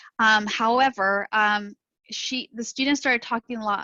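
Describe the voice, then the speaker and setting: A woman speaks in a bright, sharp tone. The sound is dry and close, with no echo. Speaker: school counselor. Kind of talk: presentation to parents. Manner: fast.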